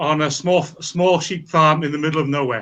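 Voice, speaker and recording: This man has a Welsh accent, a fairly high voice, a bright, sharp tone and fairly even intonation. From Wales, rural. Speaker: scientist. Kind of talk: interview.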